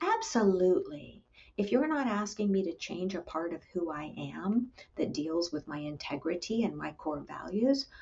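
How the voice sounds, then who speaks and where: Soft-spoken, a woman with a medium pitch and lively intonation talks at a moderate pace over noticeable background noise. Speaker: clinical psychologist. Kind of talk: interview.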